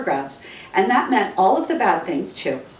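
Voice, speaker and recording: A woman speaks at a fairly quick pace in a tearful tone. Noticeable background noise runs behind her. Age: 50s. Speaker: radio talk show host and author. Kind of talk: author reading own book. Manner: emotional, tearful.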